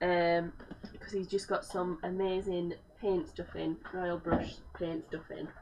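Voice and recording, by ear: A woman speaks slowly at a fairly low pitch, with little pitch movement and a slightly mellow tone.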